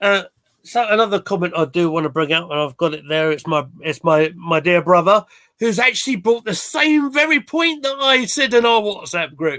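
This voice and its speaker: A man with a high pitch and a bright, sharp tone raises and projects his voice. He talks at a moderate pace with very wide pitch swings. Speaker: football fan podcaster. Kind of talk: casual chat. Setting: live stream.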